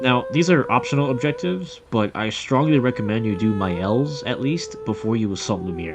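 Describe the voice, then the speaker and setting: With music behind him, a man talks fairly quickly, his intonation lively. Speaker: gaming youtuber. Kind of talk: scripted narration.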